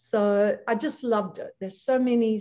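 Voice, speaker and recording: A woman with an Australian accent at a fairly slow pace, with ordinary pitch variation. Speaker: leadership trainer and chatbot business founder. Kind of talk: interview.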